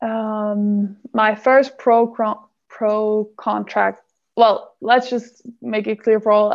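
In a Danish accent, a woman speaks at a very slow pace. Her intonation is monotone and flat. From Denmark. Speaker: handball player. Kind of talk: interview. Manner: halting.

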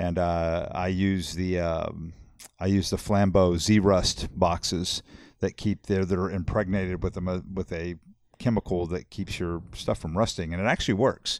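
Very deep, low-pitched man in a South Texas accent, fairly slow and monotone with flat intonation, on a very clean recording with a silent background. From Texas, Corpus Christi. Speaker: angler. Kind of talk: casual chat.

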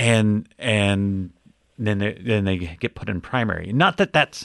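A normal speaking voice moves at a fairly slow pace over a quiet background. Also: man. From Ogden, Utah. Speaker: podcast guest, longtime listener. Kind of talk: casual chat; news reading.

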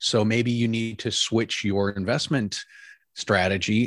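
A man talks at a fairly slow pace in an unremarkable speaking voice, his intonation fairly even. The very clean recording has a silent background and a dry, close sound with no echo. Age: 50s. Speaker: entrepreneur and retirement coach. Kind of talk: casual interview.

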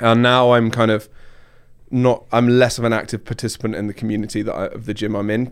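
Very fast and monotone, a man of medium pitch speaks with flat intonation. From southern England, Surrey. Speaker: technology marketer, former fitness coach. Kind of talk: casual chat. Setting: studio.

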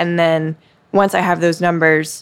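A woman's fairly low voice in an American accent, monotone and flat in intonation. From US South, Mississippi Gulf Coast. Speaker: TV meteorologist. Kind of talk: interview conversation. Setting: coffee shop after hours.

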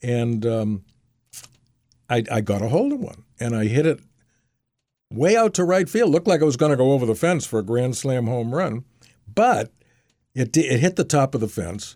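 Speaking with an American accent, a man with a medium-pitched, dark, mellow tone uses lively intonation at a moderate pace, broken by long, frequent pauses. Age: 80s+. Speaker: memoirist. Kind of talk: storytelling interview. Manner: halting with frequent fillers.

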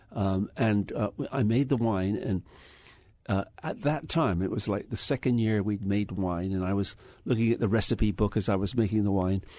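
In an English accent, a man talks at a moderate pace with a fairly low pitch. His pitch varies in an ordinary way against a quiet background. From England. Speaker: winery owner. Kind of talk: interview. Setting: studio.

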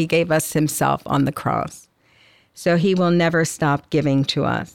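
A woman's very deep, low voice at a fairly slow pace, with fairly even intonation. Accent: American. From South Jersey, US. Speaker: nun and campus minister. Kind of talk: prayer and devotional reflection.

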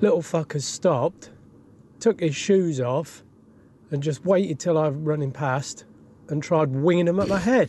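Speaking at a fairly slow pace with long, frequent pauses, a man uses a fairly high pitch and ordinary pitch variation. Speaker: truck driver.

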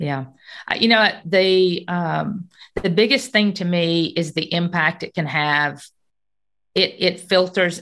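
A woman speaks with fairly even intonation at a fairly low pitch. Hers is an ordinary speaking voice. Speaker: podcast co-host, city government leader. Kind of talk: casual chat.

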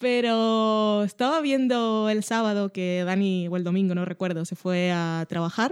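With a plain, everyday voice, a woman speaks at medium pitch with ordinary pitch variation at a fairly slow pace and hardly any pauses, on a very clean recording with a silent background. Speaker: podcast co-host. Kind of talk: casual chat.

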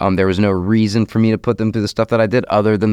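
Speaking very fast in a slight Southern US accent, a man with a fairly low pitch keeps a monotone, flat intonation, his voice dry and close with no echo. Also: quiet background. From US South, Jacksonville area, Florida. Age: 30s. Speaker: recovery coach walking across the country. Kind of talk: interview, personal testimony.

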